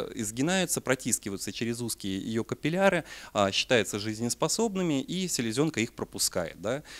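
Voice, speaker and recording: A man's voice at a moderate pace with very wide pitch swings. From Siberia, Russia. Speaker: parasitology researcher and veterinary lecturer; veterinary lecturer. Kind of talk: lecture. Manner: hesitant, many filler sounds. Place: hall.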